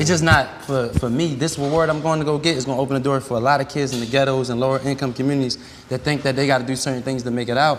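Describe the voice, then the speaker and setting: Amid noticeable background noise, a man talks at a very fast pace in a monotone, flat intonation with hardly any pauses. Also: medium pitch for a man. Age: 30s. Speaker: restaurant entrepreneur. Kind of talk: casual chat.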